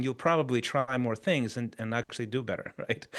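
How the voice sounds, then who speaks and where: Someone with a non-native accent speaks at a fairly quick pace with lively intonation. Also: man. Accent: foreign accent noticeable in English. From Chile. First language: Spanish. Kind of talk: interview.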